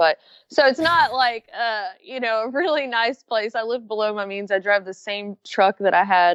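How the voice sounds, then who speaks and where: A woman with a strong Southern US accent, at a moderate pace with ordinary pitch variation. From Florida and Alabama. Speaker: backpacker and YouTuber. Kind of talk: interview. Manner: easy-going.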